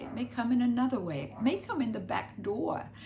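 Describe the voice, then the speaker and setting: With very wide pitch swings, a woman speaks at a moderate pace amid audible room echo. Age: 80s+. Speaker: spiritual teacher. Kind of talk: spiritual guidance talk.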